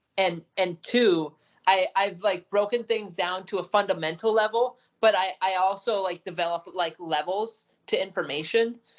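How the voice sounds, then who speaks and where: At a moderate pace, a woman with an ordinary speaking voice talks in a medium pitch with fairly even intonation. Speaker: podcast co-host. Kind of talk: casual chat.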